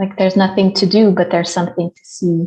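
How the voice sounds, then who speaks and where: Somewhat breathy and dark, mellow in tone, a woman's medium-pitched voice holds fairly even intonation. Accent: non-native. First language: not English. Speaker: career coach. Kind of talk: casual chat. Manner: halting.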